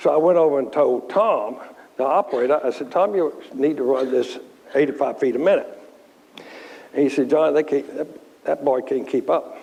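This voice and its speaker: The speaker talks at a moderate pace with a Virginia accent, leaving long, frequent pauses. Noticeable background noise runs under the voice. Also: man. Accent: Southern US (Virginia). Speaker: furniture company chairman. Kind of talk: Q&A talk with anecdotes.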